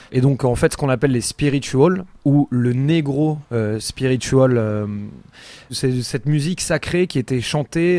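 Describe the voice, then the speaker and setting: On a very clean recording with a silent background, a man speaks very slowly at medium pitch. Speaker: music podcast host. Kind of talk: casual chat. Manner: animated.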